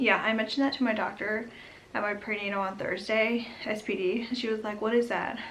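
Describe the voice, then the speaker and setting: Amid noticeable background noise and audible room echo, a woman speaks at a fairly quick pace in a fairly high pitch with monotone, flat intonation. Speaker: vlogger. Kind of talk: casual vlog update. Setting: home nursery. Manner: whispering, quiet; chatty, many fillers.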